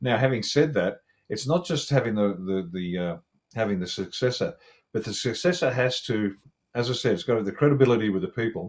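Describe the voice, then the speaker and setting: A man with an Australian accent speaks at a medium pitch and a fairly quick pace. His intonation is lively. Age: 60s. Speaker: retired special forces officer and commentator. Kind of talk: interview analysis.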